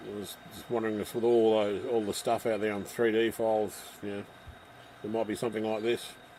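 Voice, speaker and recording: A man mumbles in an Australian accent at a fairly quick pace. His fairly low voice stays monotone and flat. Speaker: model railway hobbyist livestreamer. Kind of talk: casual chat. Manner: mumbling; soft-spoken.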